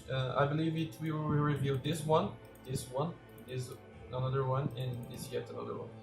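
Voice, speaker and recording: Music plays in the background as a man speaks at a medium pitch and moderate pace with ordinary pitch variation and audible room echo. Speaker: gaming youtuber. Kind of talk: game tutorial. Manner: halting with many fillers.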